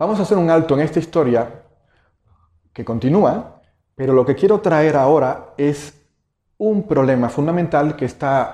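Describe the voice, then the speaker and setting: Against a quiet background, a man with a fairly high pitch and a dark, mellow tone speaks fairly slowly, with ordinary pitch variation and long, frequent pauses. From Cuba. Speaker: meditation teacher. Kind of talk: lecture. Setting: stage with audience.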